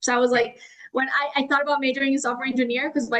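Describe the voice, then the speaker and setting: A woman with a Spanish accent speaks in a high pitch. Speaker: AI and automation consultant. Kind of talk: podcast interview. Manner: casual, filler-heavy.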